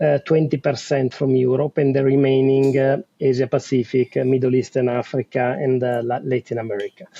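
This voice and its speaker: A speaker with an Italian accent talks in a flat monotone. There are hardly any pauses. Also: man, medium pitch for a man. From Italy. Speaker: telecom business executive. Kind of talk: interview. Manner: hesitant, many fillers.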